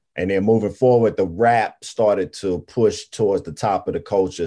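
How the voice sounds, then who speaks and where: A man talks at a moderate pace with an American accent. His tone is dark and mellow. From US South, Greensboro, North Carolina. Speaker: hip-hop artist and music entrepreneur. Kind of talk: casual chat.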